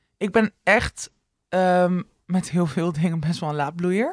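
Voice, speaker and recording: A woman uses an ordinary speaking voice, fairly low in pitch with ordinary pitch variation. She talks at a fairly slow pace, and the sound is dry and close with no echo. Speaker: podcast co-host. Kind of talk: casual chat. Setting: co-host's living room.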